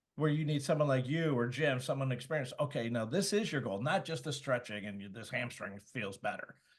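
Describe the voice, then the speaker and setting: With hardly any pauses, a man talks at a fairly quick pace in an American accent, medium in pitch, somewhat breathy, and with lively intonation. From Michigan. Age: 60s. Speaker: podcast co-host. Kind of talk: casual interview chat. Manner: halting.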